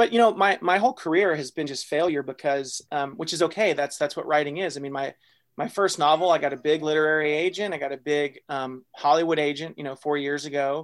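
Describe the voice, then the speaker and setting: A man with a Texan accent talks at a fairly quick pace with hardly any pauses, his pitch fairly high. His pitch varies in an ordinary way, and the recording is very clean with a silent background. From North Texas, small town. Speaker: fiction writer and writing workshop founder. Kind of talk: interview conversation.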